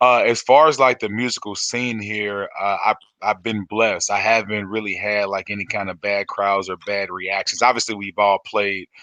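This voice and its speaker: With hardly any pauses, a man talks at a moderate pace in a fairly low, bright, sharp voice with fairly even intonation, recorded dry and close with no echo. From US Midwest, St. Louis, Missouri. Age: 30s. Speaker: singer-songwriter. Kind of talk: interview. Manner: halting, many fillers.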